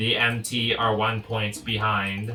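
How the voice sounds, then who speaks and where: Putting on a character voice, a man at medium pitch speaks at a fairly slow pace in a monotone, flat intonation over clear background noise. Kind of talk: announcer delivery.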